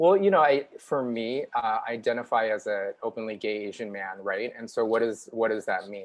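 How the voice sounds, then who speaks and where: Here a man speaks at a moderate pace, with a medium pitch and ordinary pitch variation. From US Midwest, Chicago. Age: 40s. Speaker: TV news reporter. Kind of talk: interview. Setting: live online show.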